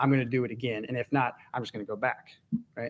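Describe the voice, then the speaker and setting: With fairly even intonation, a man delivers his words very fast. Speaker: Bible study teacher. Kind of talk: Bible study teaching. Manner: conversational.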